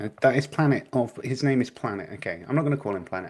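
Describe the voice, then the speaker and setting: Quietly, a man speaks at a very fast pace. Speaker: streamer critiquing debates. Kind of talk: casual live stream commentary. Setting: live stream from small flat. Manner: hesitant, many fillers.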